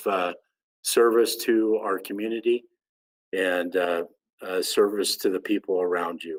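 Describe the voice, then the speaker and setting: This man has an American accent and a fairly low pitch. He talks at a fairly slow pace with fairly even intonation. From Oklahoma. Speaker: sheriff, association president. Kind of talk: ceremony speech.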